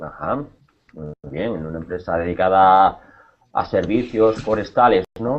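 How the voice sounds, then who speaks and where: Speaking at a fairly slow pace, a man with a very deep, low pitch uses lively intonation and big swings in loudness. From Spain, Cáceres (Extremadura). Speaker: Spanish teacher. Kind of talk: online language class. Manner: hesitant, with many repetitions.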